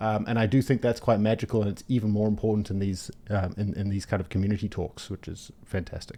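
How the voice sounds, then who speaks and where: A man's fairly low, dark, mellow voice with a slight New Zealand accent, very fast with hardly any pauses and fairly even intonation. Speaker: event organizer. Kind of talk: casual chat.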